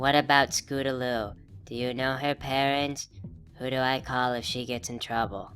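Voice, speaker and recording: A cartoonish character voice at a low-to-middle pitch and moderate pace, over clear music in the background. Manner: soft, timid.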